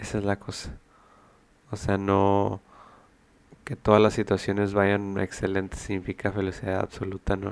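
A man talks at a moderate pace in a fairly low pitch. His intonation is monotone and flat, broken by long, frequent pauses. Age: 30s. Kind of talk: solo reflective monologue. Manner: hesitant, many fillers.

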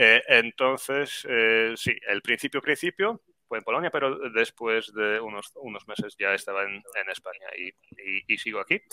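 A man with a Polish accent speaks at a moderate pace and medium pitch with ordinary pitch variation. His tone is bright and sharp, and the sound is dry and close with no echo. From Poland, Grudziądz. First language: Polish (speaking Spanish). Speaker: Spanish teacher YouTuber. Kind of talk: interview.

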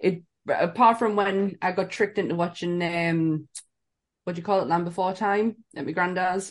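At a moderate pace, a woman speaks with a northern English accent. Her pitch is medium and her intonation fairly even. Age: 40s. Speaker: podcast co-host. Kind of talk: casual chat.

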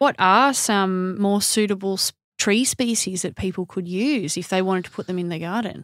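A woman's medium-pitched voice in an Australian accent, with ordinary pitch variation at a moderate pace, on a very clean recording with a silent background. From Melbourne, Australia. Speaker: horticulturalist and podcast host. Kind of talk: interview.

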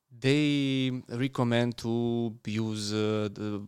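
On a very clean recording with a silent background, a man with a Romanian accent talks at a medium pitch in a monotone, flat intonation. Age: young. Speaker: dentist. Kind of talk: casual interview. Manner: halting.

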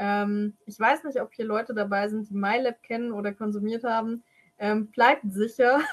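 Her voice is an unremarkable speaking voice, fairly high in pitch. This woman speaks at a moderate pace with fairly even intonation. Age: 20s. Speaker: IT security specialist and powerlifter. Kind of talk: explanatory interview.

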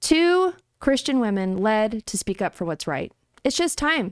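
A woman talks at a fairly slow pace in a dry, close sound with no echo, on a very clean recording with a silent background. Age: 40s. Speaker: conservative podcast host. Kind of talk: casual chat.

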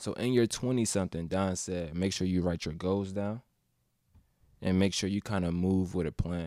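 Recorded very cleanly over a silent background, a man with an American accent speaks in a very deep, low voice of dark, mellow tone and ordinary pitch variation. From Atlanta, Georgia. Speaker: podcast host. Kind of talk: casual chat.

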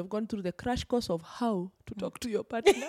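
A woman's animated voice at a fairly high pitch, very fast in pace, with ordinary pitch variation and a dry, close sound with no echo. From Kenya, Kikuyu region. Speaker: pre and postpartum fitness coach. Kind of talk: casual chat. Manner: loud.

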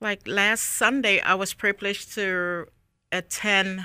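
A woman speaks at a medium pitch with a bright, sharp tone. The recording is very clean, with a silent background. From Liberia (Monrovia). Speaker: hat designer. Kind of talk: interview.

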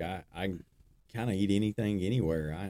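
A man with an Alabama accent speaks at a moderate pace in a dark, mellow tone. His intonation is fairly even, and the sound is dry and close with no echo. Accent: Southern US (Alabama). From US South, northern Alabama (Decatur). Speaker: construction business owner. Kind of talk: casual interview.

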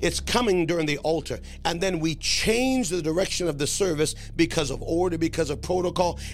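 There's noticeable background noise as a man talks at a fairly quick pace in a high pitch. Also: ordinary pitch variation. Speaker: preacher and podcast host. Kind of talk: sermon with prophetic preaching and prayer. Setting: podcast recording addressing live viewers. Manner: impassioned, declamatory preaching, urging listeners to 'hear by the Spirit'; warm, welcoming, pastoral.

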